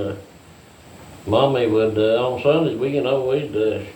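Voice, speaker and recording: A man with an American accent at medium pitch and moderate pace, ordinary pitch variation, audible room echo and noticeable background noise. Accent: hillbilly accent, strong. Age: 60s. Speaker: farmer. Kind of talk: casual chat. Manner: halting, many fillers.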